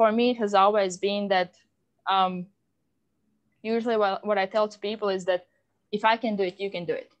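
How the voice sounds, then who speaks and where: A woman's medium-pitched voice with a non-native accent, fairly quick yet broken by long, frequent pauses, monotone and flat, with big swings in loudness. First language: not English. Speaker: podcast host. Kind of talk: casual interview chat. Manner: many fillers and restarts.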